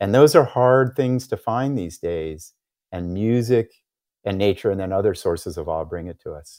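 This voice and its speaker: With an American accent, a man with a plain, everyday voice talks at a moderate pace, using lively intonation, big swings in loudness, and a fairly low pitch. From United States. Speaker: psychologist and author. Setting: remote interview.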